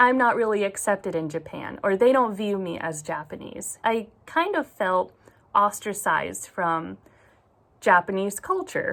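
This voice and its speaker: A woman speaks in an American accent at a fairly slow pace. She has an ordinary speaking voice with ordinary pitch variation. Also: medium pitch for a woman. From US, Oregon. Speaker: book vlogger. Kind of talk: personal confession vlog.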